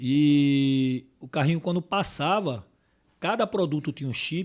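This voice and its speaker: A man speaking at a very slow pace on a very clean recording with a silent background. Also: fairly high pitch for a man. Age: 60s. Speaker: packaging sales manager. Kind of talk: podcast interview. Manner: halting.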